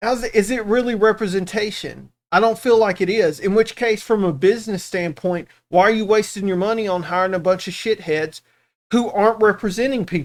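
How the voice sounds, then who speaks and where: In a very clean recording with a silent background, a man with a Southern US accent talks at a fairly quick pace in a high pitch with ordinary pitch variation. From US South. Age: 40s. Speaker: reaction streamer. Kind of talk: casual chat.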